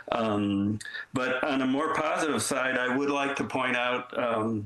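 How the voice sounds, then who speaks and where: Amid noticeable background noise and audible room echo, a man of medium pitch talks at a fairly slow pace with very even loudness and fairly even intonation. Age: 70s. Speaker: public commenter at city council meeting. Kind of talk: public comment. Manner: halting, many fillers.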